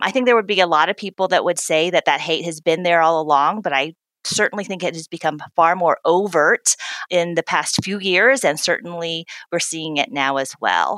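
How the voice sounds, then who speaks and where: A woman with an American accent speaks at a moderate pace in a normal speaking voice. Her pitch is fairly low with ordinary variation, and the sound is dry and close with no echo. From US South. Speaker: diversity and inclusion executive. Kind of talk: interview.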